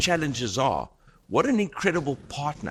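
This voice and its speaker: This man's fairly high voice has a bright, sharp tone with vocal fry and very wide pitch swings. It is captured on a very clean recording with a silent background. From South Africa. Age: 60s. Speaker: business founder. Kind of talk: interview talk to audience. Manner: halting, many fillers.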